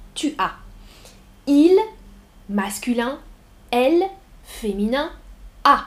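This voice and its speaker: This woman speaks very slowly, with long, frequent pauses. Her voice is high and her pitch swings very widely. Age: 30s. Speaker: French language teacher. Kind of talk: live-streamed language lesson. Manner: slow, repetitive, clearly articulated; animated, frequent laughter.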